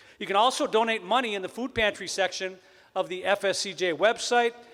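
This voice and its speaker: A man's high-pitched voice with a Wisconsin accent, bright and sharp in tone, at a moderate pace with ordinary pitch variation. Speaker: event emcee, speech professor. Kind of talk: ceremony emcee address.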